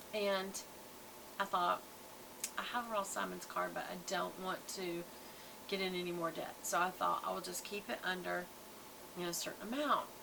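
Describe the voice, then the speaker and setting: Amid noticeable background noise, a woman with a Southern US accent speaks at a moderate pace with long, frequent pauses. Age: 60s. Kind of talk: casual product review vlog. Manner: chatty, conversational.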